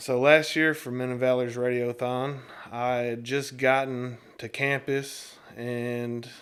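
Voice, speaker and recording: With a Southern US accent, a man speaks at a medium pitch in a monotone, flat delivery. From US South, Tennessee (Nashville area). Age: 30s. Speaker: former inmate in a recovery ministry. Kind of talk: testimony. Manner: casual with hesitations.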